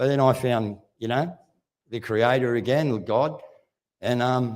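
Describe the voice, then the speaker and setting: Medium-pitched male voice with an Australian accent and ordinary pitch variation. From Australia, Wollongong. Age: 60s. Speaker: activist speaker. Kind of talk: speech to live audience. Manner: animated.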